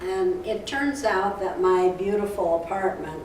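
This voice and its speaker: Speaking at a fairly slow pace over noticeable background noise, a woman uses a medium pitch and lively intonation. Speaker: author talking about her book. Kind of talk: author talk / recounting personal story at library.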